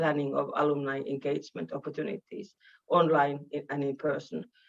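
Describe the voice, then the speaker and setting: The speaker has a Finnish accent. The pace is moderate. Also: woman. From Finland. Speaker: university vice-rector and professor. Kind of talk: welcome speech. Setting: online video meeting.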